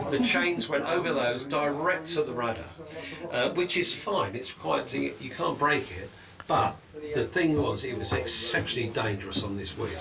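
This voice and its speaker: A man speaks at a moderate pace, with audible room echo and music in the background. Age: 70s. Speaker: museum tour guide, former trawlerman. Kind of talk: guided tour explanation. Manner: animated.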